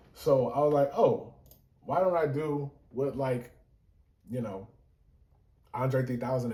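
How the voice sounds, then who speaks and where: A man speaks at a moderate pace with a dark, mellow tone. His voice is somewhat breathy. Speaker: musician explaining his own song. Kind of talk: casual video talk, breaking down a song. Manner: casual with many fillers.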